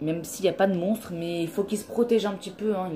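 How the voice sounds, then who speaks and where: At a fairly quick pace, a woman talks with a medium-pitched voice. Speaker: gaming YouTuber. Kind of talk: let's play commentary. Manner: animated.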